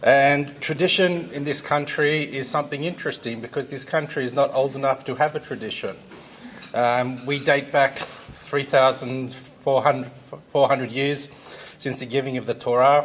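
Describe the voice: The man's tone is fairly bright. He keeps a moderate pace. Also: medium pitch for a man, fairly even intonation.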